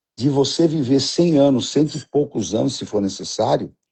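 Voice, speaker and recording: Somewhat breathy, the voice moves at a fairly slow pace with lively intonation. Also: man. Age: 70s. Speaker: pastor. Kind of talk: religious teaching conversation.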